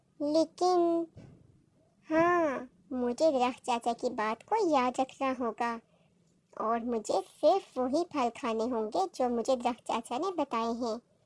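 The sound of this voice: A female-sounding cartoonish character voice pitched high. It moves at a fairly slow pace. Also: very clean recording, silent background.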